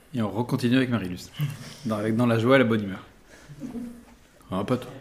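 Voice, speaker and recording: Over noticeable background noise, a man of medium pitch talks at a very fast pace with fairly even intonation. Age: 40s. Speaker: mediator and coach, clown student. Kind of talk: interview before live audience. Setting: recorded with live audience. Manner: hesitant, many fillers.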